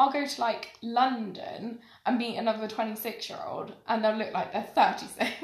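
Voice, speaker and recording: The speech moves at a fairly slow pace with fairly even intonation, big swings in loudness and audible room echo. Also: woman, fairly high pitch for a woman. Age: 20s. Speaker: podcast guest. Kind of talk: casual chat.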